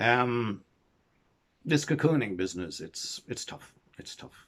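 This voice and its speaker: A man with an Irish accent talks at a moderate pace with ordinary pitch variation. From Ireland. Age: 70s. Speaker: storyteller. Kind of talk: casual monologue to camera. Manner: halting.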